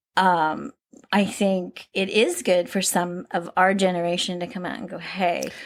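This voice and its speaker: A plain, everyday voice moves at a fairly slow pace with fairly even intonation and big swings in loudness on a very clean recording with a silent background. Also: woman, medium pitch for a woman. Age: 60s. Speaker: podcast host. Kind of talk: casual chat. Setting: at home.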